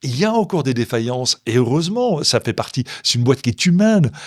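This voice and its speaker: Speaking very fast, a man at medium pitch sounds animated. The very clean recording has a silent background and a dry, close sound with no echo. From Belgium, Brussels area. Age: 60s. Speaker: chocolatier and entrepreneur. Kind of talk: interview.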